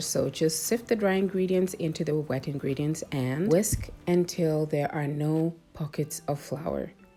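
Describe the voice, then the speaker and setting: Through noticeable background noise, a woman speaks with a very deep, low pitch and ordinary pitch variation. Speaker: cooking channel host. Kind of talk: cooking tutorial. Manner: casual, chatty.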